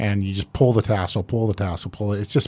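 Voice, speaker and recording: At a fairly quick pace, a man speaks with a fairly low pitch and a Midwestern American accent. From Iowa. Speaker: pastor and podcast host. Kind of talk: casual interview.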